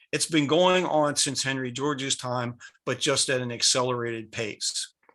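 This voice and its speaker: A voice with an American accent and a bright, sharp tone speaks at a fairly slow pace with ordinary pitch variation. The background is quiet. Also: man. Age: 70s. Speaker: speaker on economics. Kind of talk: lecture. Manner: halting.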